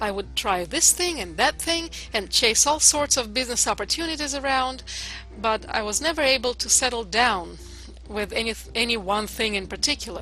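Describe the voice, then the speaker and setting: With music in the background, a woman speaks at a moderate pace in a Russian accent. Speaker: internet marketer. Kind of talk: testimony. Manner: hesitant, with filler uhs.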